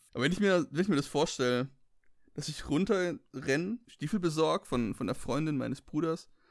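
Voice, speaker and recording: The recording is very clean, with a silent background. A man speaks fairly quickly at a fairly high pitch, his intonation lively. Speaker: comedy advice podcast co-host. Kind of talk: casual chat.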